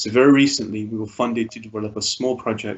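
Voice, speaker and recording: With an ordinary speaking voice, a man talks at a fairly quick pace, his medium pitch held in fairly even intonation. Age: 20s. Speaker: mental health charity founder. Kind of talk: webinar presentation. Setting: video call.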